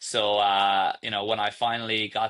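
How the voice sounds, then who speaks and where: This man talks with a fairly low voice and fairly even intonation. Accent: slight Irish. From Ireland. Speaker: startup founder and CEO. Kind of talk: podcast interview.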